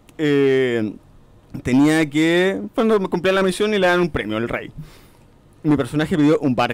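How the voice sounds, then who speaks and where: A man speaks fairly slowly in a fairly high pitch, with lively intonation. His long pauses come often. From Chile, Coquimbo. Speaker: role-playing game distributor. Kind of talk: casual chat.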